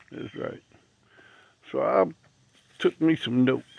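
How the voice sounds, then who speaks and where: This is a man speaking. He has an American accent. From Missouri, Franklin County. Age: 60s. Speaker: video blogger. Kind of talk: casual monologue. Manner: conversational, rhetorical questions.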